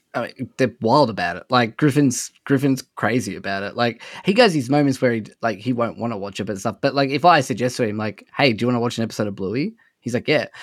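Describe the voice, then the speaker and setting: In an Australian accent, a man speaks at a very fast pace and a medium pitch. His pitch varies in an ordinary way, and the recording is very clean with a silent background. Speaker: podcaster and father. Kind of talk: casual chat.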